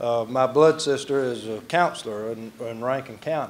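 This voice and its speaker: A man with a Mississippi accent speaks at a medium pitch. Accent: Southern US (Mississippi). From Mississippi (rural, near Delo). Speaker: master of ceremonies, former political staffer. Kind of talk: emcee speech at awards dinner. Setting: banquet hall with audience. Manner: folksy, humorous.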